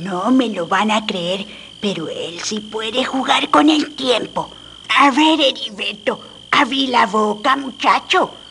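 A woman at a fairly slow pace, with lively intonation over clear background noise. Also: fairly high pitch for a woman. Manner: gruff, scolding, then commanding.

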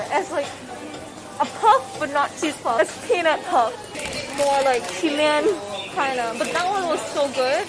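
Crowd noise fills the background as a woman with a high-pitched voice talks at a fairly slow pace. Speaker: travel vlogger. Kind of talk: walking vlog narration. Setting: outdoors. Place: shop. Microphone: phone near.

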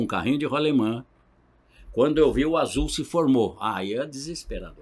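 A man at a moderate pace. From interior of São Paulo state (Marília); São Paulo state, Brazil. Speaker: pastor and gospel band vocalist; pastor. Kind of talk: testimony. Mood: earnest, reflective storytelling. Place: studio. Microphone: studio mic.

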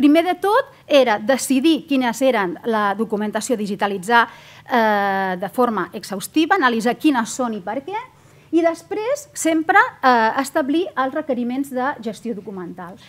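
A woman speaks at a fairly slow pace with hardly any pauses. Her high pitch moves in very wide swings. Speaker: government archivist, conference speaker; conference speaker. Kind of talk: conference presentation. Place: hall. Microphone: podium.

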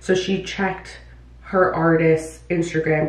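Here a woman speaks with a fairly low pitch. The room echo is audible. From New York City (Bronx) until age 10. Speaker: vlogger and hairstylist; vlogger. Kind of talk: casual vlog talk to camera. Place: bathroom.

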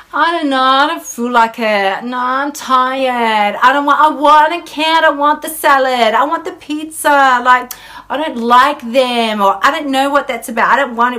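Using a put-on character voice that is whiny, with a whiny tone and high pitch, a woman talks at a fairly slow pace with hardly any pauses.

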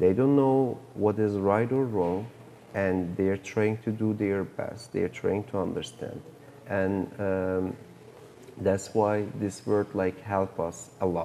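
A man's very slow, fairly low-pitched speech in a Turkish accent, with long, frequent pauses, fairly even intonation and light background noise. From Turkey. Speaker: film director. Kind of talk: interview. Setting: film festival. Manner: halting. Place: hall. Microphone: lapel.

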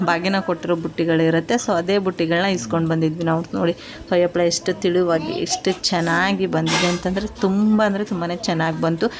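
Fairly low-pitched woman's voice with fairly even intonation and very even loudness, amid noticeable background noise. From central Karnataka (Davanagere). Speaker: vlogger. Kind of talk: vlog narration. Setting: home.

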